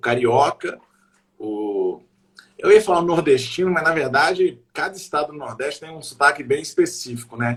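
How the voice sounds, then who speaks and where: The voice sounds somewhat breathy and moves at a moderate pace. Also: man. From Brazil, Minas Gerais (Belo Horizonte). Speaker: comedian. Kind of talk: casual chat.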